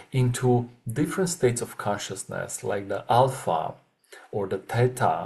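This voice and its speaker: A non-native accent at a fairly slow pace. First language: not English. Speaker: webinar facilitator. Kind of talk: webinar talk. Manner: halting, many filler sounds.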